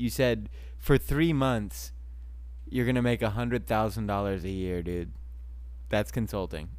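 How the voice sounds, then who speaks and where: A man with a very deep, low voice speaks at a fairly slow pace, leaving long, frequent pauses. His pitch swings very widely. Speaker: podcast co-host. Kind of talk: casual chat. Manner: laughs often.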